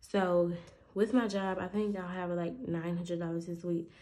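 A woman's fairly low, dark, mellow voice, monotone and flat, at a moderate pace. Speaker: budgeting content creator. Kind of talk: casual vlog. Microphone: phone near.

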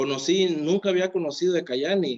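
A quiet background surrounds the voice. Its pitch moves in an ordinary way. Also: man. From Mexico, Oaxaca coast; Oaxaca, Mexico. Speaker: network marketing distributor. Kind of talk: testimony. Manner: animated. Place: home room. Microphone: phone near.

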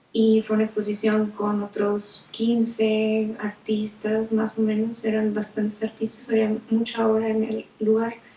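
A woman speaks at a fairly slow pace in a fairly high voice with flat, monotone intonation, and room echo can be heard. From northern Mexico, Nuevo León. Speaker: visual artist. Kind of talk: personal account. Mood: calm, reflective storytelling. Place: home room.

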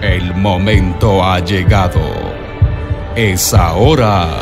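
Music plays in the background. The speech comes at a very slow pace. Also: man, very deep, low pitch for a man. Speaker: voice-over announcer. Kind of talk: radio event commercial read. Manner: energetic, hyped.

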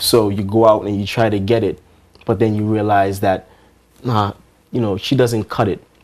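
A man speaks at a moderate pace in a monotone, flat intonation, with long, frequent pauses. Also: fairly low pitch for a man. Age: young. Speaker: R&B singer; interviewee. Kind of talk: interview. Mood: earnest, reflective. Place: studio.

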